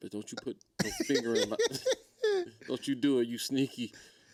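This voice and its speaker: A man puts on a character voice, talking at a middling tempo in a mid-range pitch. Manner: menacing, growling.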